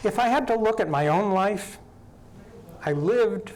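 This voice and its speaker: Speaking at a fairly slow pace with lively intonation, a man is heard amid audible room echo. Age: 60s. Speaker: local housing advocate, volunteer on county advisory bodies. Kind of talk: interview on local TV talk show.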